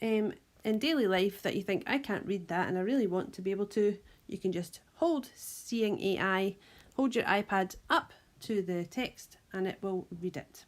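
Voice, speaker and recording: A woman speaks with a Scottish accent. Her pitch is medium. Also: ordinary pitch variation, moderate pace. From Scotland. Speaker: primary school teacher. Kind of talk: tutorial.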